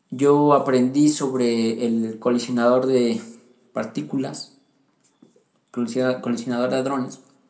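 Against audible room echo, a man speaks at a very slow pace with fairly even intonation and long, frequent pauses. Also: medium pitch for a man. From central Mexico (Pachuca, Hidalgo). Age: 20s. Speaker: young churchgoer sharing his faith story. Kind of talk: personal testimony.

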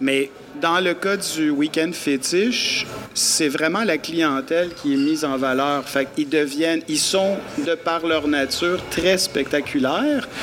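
Over noticeable background noise, a man with a fairly high pitch speaks at a very slow pace, with ordinary pitch variation and very even loudness. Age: 50s. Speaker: event producer. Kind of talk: casual interview. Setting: live in a pub.

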